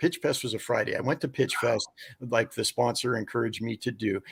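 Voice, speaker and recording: In a dry, close sound with no echo, a somewhat breathy man talks at a fairly quick pace and medium pitch. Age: 60s. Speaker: ministry founder and documentary maker. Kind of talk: interview. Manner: halting.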